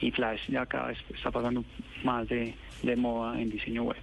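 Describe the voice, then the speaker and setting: This man talks at a fairly slow pace in an unremarkable speaking voice, his pitch sitting in the medium range. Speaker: government technology official. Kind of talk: phone interview. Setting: phone call.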